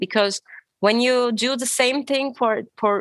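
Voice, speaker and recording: The speaker has a non-native accent and fairly even intonation. The background is quiet. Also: woman. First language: not English. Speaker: guest with maladaptive daydreaming experience. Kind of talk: casual interview chat. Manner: halting, self-correcting.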